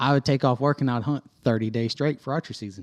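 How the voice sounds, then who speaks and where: With a Florida Panhandle accent, the speaker moves at a fairly quick pace with fairly even intonation, the sound dry and close with no echo. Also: man. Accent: US Southern (Florida Panhandle). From Northwest Florida. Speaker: hunter. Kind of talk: casual chat.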